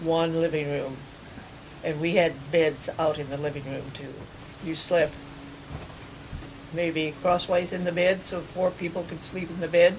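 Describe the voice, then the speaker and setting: Over noticeable background noise, a woman with a Midwestern US accent and fairly low pitch speaks at a fairly slow pace in a monotone, flat intonation, with long, frequent pauses. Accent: rural Midwestern American. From US Midwest, rural Kansas. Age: 80s+. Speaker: elderly woman recounting her life. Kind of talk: oral history interview.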